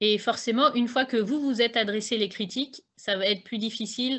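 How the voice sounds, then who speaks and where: Pitch varies in an ordinary way as a woman talks at a fairly quick pace. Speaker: author and public speaking coach. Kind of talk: online talk on public speaking. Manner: hesitant, many fillers.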